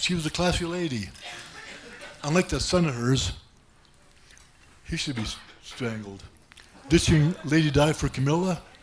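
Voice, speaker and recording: Amid noticeable background noise, a man with a fairly high pitch speaks at a moderate pace with lively intonation, big swings in loudness, and long, frequent pauses. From Germany. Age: 70s. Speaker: comedian. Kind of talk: stand-up. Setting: stage with audience.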